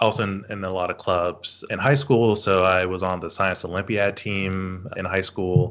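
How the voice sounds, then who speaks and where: Hardly pausing, a speaker with an American accent talks at a moderate pace with fairly even intonation. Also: man, very deep, low pitch for a man. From US South, northwest Louisiana (Shreveport). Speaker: rhetoric scholar. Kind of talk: interview. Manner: halting, many repetitions.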